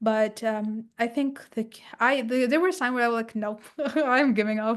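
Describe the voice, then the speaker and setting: With a non-native accent, a woman talks at a moderate pace with fairly high pitch and ordinary pitch variation. Her loudness swings widely. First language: not English. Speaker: author and purpose coach. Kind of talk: interview. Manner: halting.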